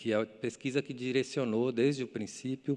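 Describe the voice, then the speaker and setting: A man's voice at medium pitch against a quiet background. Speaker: architect. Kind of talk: lecture. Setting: stage with audience. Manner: fast; halting.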